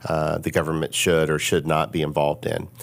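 With a very deep, low pitch, a man speaks at a fairly quick pace in a monotone, flat intonation. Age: 50s. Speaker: business consultant and social media influencer. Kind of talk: casual chat.

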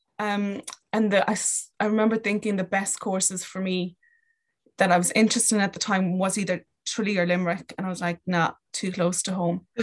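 A woman with a Kerry accent speaks at a medium pitch and a fairly quick pace. Her intonation is monotone and flat. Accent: Kerry Irish. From Ireland, County Kerry. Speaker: sport psychology graduate and rugby coach. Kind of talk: casual interview.

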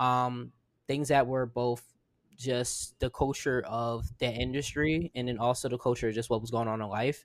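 Speaking at a moderate pace, a man has a medium pitch and fairly even intonation. It is a plain, everyday voice in a very clean recording with a silent background. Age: 20s. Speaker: podcast co-host. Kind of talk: casual chat.

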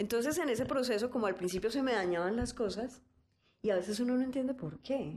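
Her loudness stays very even as this woman speaks at a very fast pace. Her pitch is fairly high, with ordinary variation. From Colombia, Cali. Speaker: fermentation entrepreneur. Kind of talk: interview conversation.

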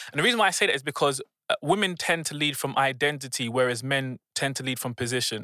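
With a London accent, a man speaks very fast at a fairly high pitch in a bright, sharp tone, with ordinary pitch variation and a dry, close sound with no echo. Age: 20s. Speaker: business coach. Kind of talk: casual chat. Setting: studio.

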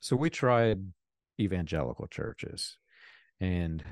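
Against a quiet background, a man speaks in a plain, everyday voice, fairly low in pitch, with lively intonation. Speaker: author and ex-cult member. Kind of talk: interview conversation.

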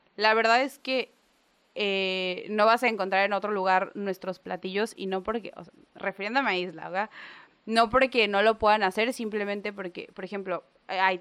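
A woman speaks at a moderate pace in a plain, everyday voice, medium in pitch. Her intonation is fairly even, and the background is quiet. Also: big swings in loudness. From Mexico, Gulf coast island area. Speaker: chef and restaurant owner. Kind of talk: casual interview chat.

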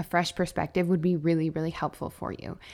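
A woman speaks in a plain, everyday voice at a fairly low pitch, with ordinary pitch variation. The recording is very clean over a silent background. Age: 40s. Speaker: health and wellness coach. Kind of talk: solo podcast monologue. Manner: warm, earnest.

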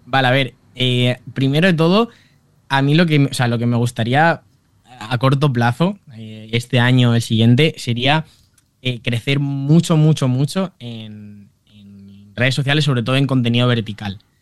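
A man speaks at a fairly slow pace and a medium pitch. His pitch varies in an ordinary way, while his loudness swings widely. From Valencia, Spain. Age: 20s. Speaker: humor content creator. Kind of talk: interview.

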